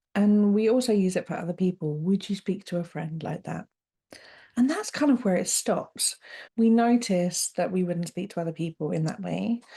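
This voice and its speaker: In a British accent, a woman speaks at a moderate pace with a medium pitch, ordinary pitch variation, and a dark, mellow, somewhat breathy tone against a quiet background. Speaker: podcast host, coach. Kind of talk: solo podcast monologue, self-help talk. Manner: warm, straight-talking, conversational.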